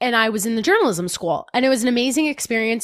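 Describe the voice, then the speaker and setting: In a very clean recording with a silent background, a woman with a New Jersey accent talks at a very fast pace with ordinary pitch variation. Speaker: fitness podcast host. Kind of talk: casual chat.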